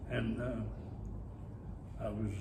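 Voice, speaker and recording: A man speaks in a Pittsburgh accent. Noticeable background noise and audible room echo fill the recording. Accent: western Pennsylvania (Pittsburgh). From Pittsburgh, western Pennsylvania. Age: 90s. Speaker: retired teacher and army veteran. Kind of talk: oral history interview.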